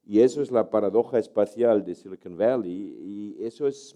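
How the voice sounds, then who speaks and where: Dark and mellow, this man's voice has a medium pitch. He is the one speaking. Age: 70s. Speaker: university professor and author. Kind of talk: talk. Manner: hesitant, many fillers.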